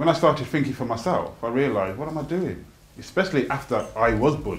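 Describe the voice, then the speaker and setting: With vocal fry and lively intonation, a man talks very fast in a fairly high voice. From Birmingham. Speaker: performance poet. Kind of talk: informal interview answer. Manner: casual, candid.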